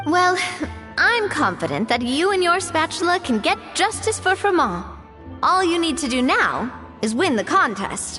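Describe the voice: Putting on a character voice, a woman speaks at an extremely high pitch with big swings, a bright, sharp tone and a fairly slow pace over faint music in the background.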